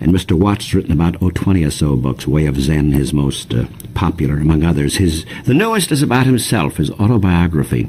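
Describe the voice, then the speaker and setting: Very deep, low male voice with lively intonation and very even loudness, moving at a fairly quick pace over light background noise. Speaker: radio interviewer. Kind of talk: radio show introduction. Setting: radio studio. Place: studio. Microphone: old recording.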